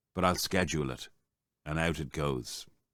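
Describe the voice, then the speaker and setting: A man speaks with an Irish accent at a moderate pace. The recording is very clean, with a silent background. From Ireland. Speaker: voice-over artist. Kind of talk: casual podcast talk to camera.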